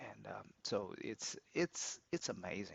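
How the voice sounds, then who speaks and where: A man with a Chinese accent at a fairly slow pace. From China, Beijing. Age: 60s. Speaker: opera club organizer and business analyst. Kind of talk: interview. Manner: halting, many repetitions and fillers.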